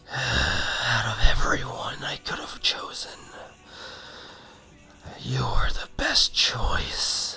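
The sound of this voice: A raspy, whispering put-on character voice moves at a very slow pace. Long pauses come often.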